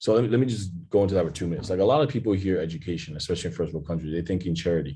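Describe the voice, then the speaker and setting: A man with very deep, low pitch and a dark, mellow, somewhat breathy tone, talking very fast with lively intonation. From DR Congo (Kinshasa). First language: French. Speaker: startup founder. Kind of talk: interview.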